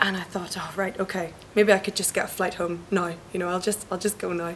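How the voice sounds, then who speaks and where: A woman's medium-pitched voice, monotone and flat in intonation, at a fairly quick pace over noticeable background noise. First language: not Spanish. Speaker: EU volunteer. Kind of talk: interview testimony.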